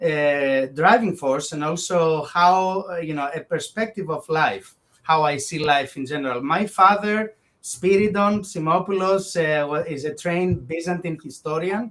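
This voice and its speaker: A man talks in a Greek accent at a high pitch. His pace is fairly slow, with ordinary pitch variation. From Greece, Thessaloniki. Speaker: bioethicist. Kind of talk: interview conversation.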